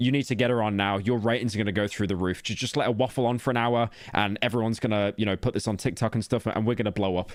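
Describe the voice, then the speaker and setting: A man with an English accent and a fairly low pitch talks at a very fast pace with hardly any pauses, his loudness very even and his intonation fairly even. The recording is very clean, with a silent background. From England. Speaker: streamer. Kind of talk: reaction commentary. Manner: sarcastic.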